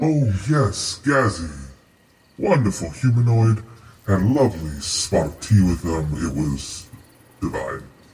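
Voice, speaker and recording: Using a put-on character voice, a man talks at a fairly low pitch with long, frequent pauses. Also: fairly slow pace. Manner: genteel, condescending, menacing.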